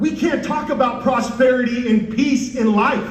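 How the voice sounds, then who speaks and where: Amid noticeable background noise, a man with an American accent and a passionate tone speaks at a fairly slow pace in an extremely high voice with ordinary pitch variation. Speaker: congressional candidate; former Marine. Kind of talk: political campaign speech. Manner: passionate, fiery, emphatic.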